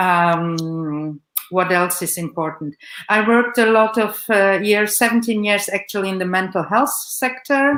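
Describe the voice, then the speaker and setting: The woman's voice sits at medium pitch with ordinary variation. She talks at a fairly slow pace. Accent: German. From Romania-born Saxon, raised in Germany. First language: German. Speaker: psychotherapist and art therapist. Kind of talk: live broadcast panel introduction. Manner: halting, many fillers.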